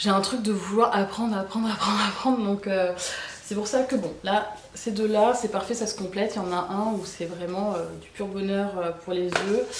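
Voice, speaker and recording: A woman's medium-pitched voice at a moderate pace with fairly even intonation, over noticeable background noise. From Bordeaux, France. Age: 30s. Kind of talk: casual talk to camera. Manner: casual, hesitant with many fillers.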